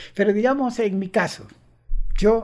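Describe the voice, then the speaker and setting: A man talks at a fairly slow pace. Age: 60s. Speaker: author and engineer. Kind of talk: interview.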